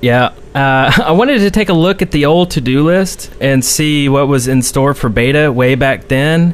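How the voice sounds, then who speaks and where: A man's fairly high voice at a moderate pace, with ordinary pitch variation, very even loudness and hardly any pauses. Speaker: podcast co-host. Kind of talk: casual chat. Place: home room. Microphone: studio mic.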